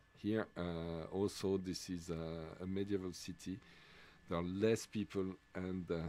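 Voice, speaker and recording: A man's very deep, low voice, dark and mellow, in a French accent, flat and monotone at a fairly slow pace. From Switzerland, French-speaking. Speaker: sports commentator. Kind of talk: live commentary. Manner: halting, many fillers.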